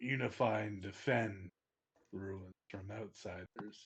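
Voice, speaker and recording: A man puts on a character voice, fairly low in pitch. He speaks at a fairly slow pace. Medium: actual play. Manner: broken, clipped speech.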